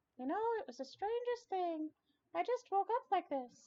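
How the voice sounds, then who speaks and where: A squeaky, extremely high cartoonish character voice at a moderate pace. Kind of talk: classic cartoon character voice. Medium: game stream.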